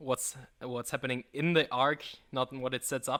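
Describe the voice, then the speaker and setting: Recorded with a dry, close sound and no echo, a man speaks at a moderate pace in a bright, sharp tone. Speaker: YouTuber guest. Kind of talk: casual chat. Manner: stuttering, halting.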